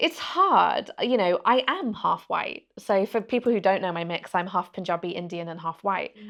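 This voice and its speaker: The speaker, with a Birmingham accent, keeps a moderate pace with hardly any pauses. Pitch variation is ordinary. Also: woman, medium pitch for a woman. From England, Birmingham. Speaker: journalist and interviewer. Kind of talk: podcast interview.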